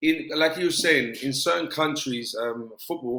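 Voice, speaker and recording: This man has a British accent and fairly even intonation. He talks at a moderate pace. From South London, England. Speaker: former professional footballer. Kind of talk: interview.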